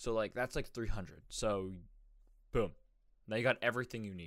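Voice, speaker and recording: A man is speaking. His pace is fairly quick. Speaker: solo podcast host. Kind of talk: casual solo talk. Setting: home recording setup. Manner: animated.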